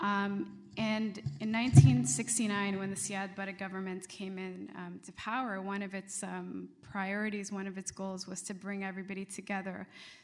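A woman speaks at a moderate pace and a medium pitch with fairly even intonation. Her loudness swings widely, with noticeable background noise behind her. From Somalia. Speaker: doctoral student, Somali community activist. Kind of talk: panel talk.

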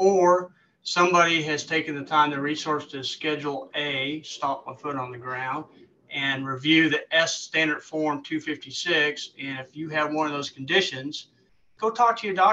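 A man at a fairly slow pace, ordinary pitch variation and big swings in loudness, with light background noise. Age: 50s. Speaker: government recruiter, military veteran; webinar presenter. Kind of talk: webinar presentation. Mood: helpful, conversational. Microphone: webcam.

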